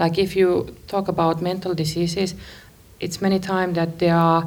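Speaking with a Finnish accent, a woman holds a fairly low pitch in a monotone, flat intonation. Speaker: radio producer. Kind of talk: interview.

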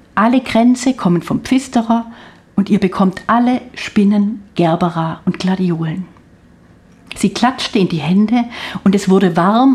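A woman in a plain, everyday voice, at a fairly slow pace with ordinary pitch variation. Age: 60s. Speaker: author. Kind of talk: reading aloud. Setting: studio.

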